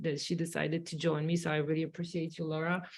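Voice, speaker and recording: With a slight Polish accent, a woman talks at a fairly low pitch in a monotone, flat intonation. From Poland. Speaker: dentist. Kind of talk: webinar presentation. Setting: online webinar, sitting with a colleague.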